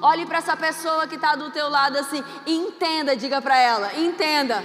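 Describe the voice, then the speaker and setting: Speaking at a moderate pace, a woman sounds animated, with audible room echo around her voice. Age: 40s. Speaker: pastor. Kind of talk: sermon. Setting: church.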